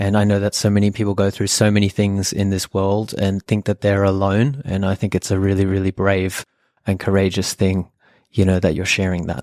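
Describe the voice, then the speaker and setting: Fairly low in pitch, a man speaks with an Australian accent at a fairly quick pace. His intonation is monotone and flat, on a very clean recording with a silent background. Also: dry, close sound with no echo. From Australia, Sydney (Epping), German family. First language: German. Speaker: podcast co-host and meditation school co-founder. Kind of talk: personal storytelling, casual chat.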